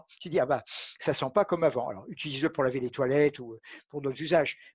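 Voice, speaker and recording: A man's voice with ordinary pitch variation, dry with no echo, against a quiet background. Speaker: physician and aromatherapy expert. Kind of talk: interview conversation. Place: home room. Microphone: headset.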